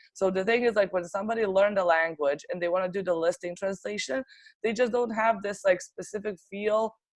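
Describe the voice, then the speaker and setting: The speaker has a Serbian accent. The pace is fairly quick, with ordinary pitch variation. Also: woman, medium pitch for a woman. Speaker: translation agency owner. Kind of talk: interview. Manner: hesitant, many fillers.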